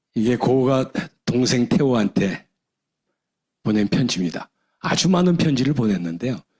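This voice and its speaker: A man with a dark, mellow tone speaks at a moderate pace. His medium pitch moves in very wide pitch swings. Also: long, frequent pauses, very even loudness. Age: 60s. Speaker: retired professor and business leader. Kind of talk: seminar lecture.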